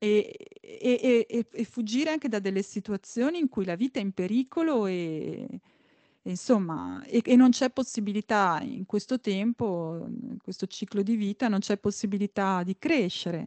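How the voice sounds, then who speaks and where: In a dry, close sound with no echo, the voice carries a dark, mellow tone, a fairly slow pace and lively intonation. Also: woman, fairly high pitch for a woman. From Emilia, near Bologna. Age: 40s. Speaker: violinist and composer. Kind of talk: interview. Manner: halting.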